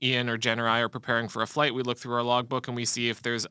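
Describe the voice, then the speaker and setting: The recording of this man is dry, with no echo and a quiet background. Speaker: instructor. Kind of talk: live show explanation. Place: studio. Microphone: studio mic.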